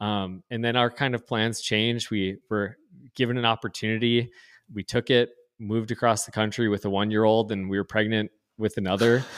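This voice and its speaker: A man with an Upper Midwest accent, fairly low in pitch and flat, monotone in intonation, in a very clean, dry, close recording with a silent background and no echo. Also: fairly quick pace. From North Dakota. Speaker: pastor. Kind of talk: casual chat.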